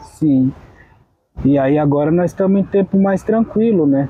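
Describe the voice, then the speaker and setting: Going at a fairly slow pace, a man speaks. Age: 30s. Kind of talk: documentary interview. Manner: halting, with many fillers.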